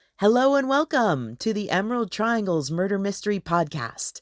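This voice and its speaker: Using a normal speaking voice, a woman talks at a moderate pace and medium pitch with lively intonation, in a dry, close sound with no echo. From Northern California. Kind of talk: podcast host introduction.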